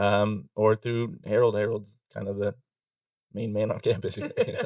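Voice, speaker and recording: The delivery has fairly even intonation at a moderate pace. The sound is dry and close, with no echo. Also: man, fairly low pitch for a man. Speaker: insurance broker, former server. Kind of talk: casual interview. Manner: monotone.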